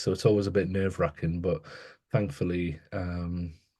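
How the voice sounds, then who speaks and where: A man with a northeast English accent speaks at a moderate pace in a dark, mellow tone with ordinary pitch variation against a quiet background. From northeast England, Newcastle. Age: 30s. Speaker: educator and author. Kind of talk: interview conversation. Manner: halting, many repetitions and fillers.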